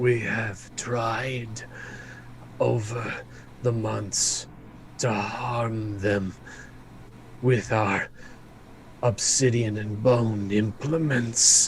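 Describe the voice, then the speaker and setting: Using a put-on character voice at a medium pitch, a man goes at a very slow pace with long, frequent pauses, and background noise is clear. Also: fairly even intonation. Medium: actual play. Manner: measured, explanatory.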